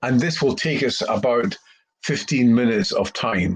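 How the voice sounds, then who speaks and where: At a fairly slow pace, a man with a Scottish accent talks in a somewhat breathy voice. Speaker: career coach. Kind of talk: tutorial.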